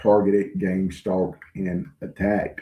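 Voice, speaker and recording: Speaking very slowly with a Southern US accent, a man uses a fairly low pitch. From US South, rural. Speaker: online channel host, self-described targeted individual. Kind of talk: livestream address. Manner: halting, frequent fillers.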